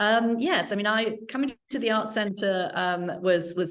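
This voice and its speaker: With an English accent, a woman talks using ordinary pitch variation. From England. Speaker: arts center executive director. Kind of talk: interview. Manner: hesitant, many fillers.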